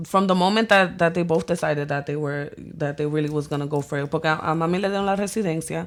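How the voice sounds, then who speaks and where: A woman speaks in a Spanish accent, her pitch fairly low with ordinary variation. The recording is very clean, with a silent background. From New York City, the Bronx, Dominican family. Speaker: visual artist and photographer. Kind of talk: casual interview chat. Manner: code-switching Spanglish.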